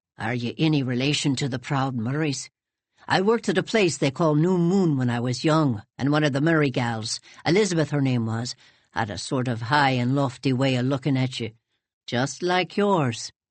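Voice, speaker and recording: A gruff, put-on character voice sits at a low-to-middle pitch. The delivery moves at a moderate pace. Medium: read story. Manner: gruff, blunt.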